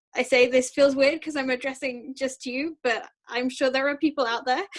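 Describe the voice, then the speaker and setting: A woman speaks with a British accent. Her voice is high, and her intonation fairly even. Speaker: student guest interviewer. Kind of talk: interview.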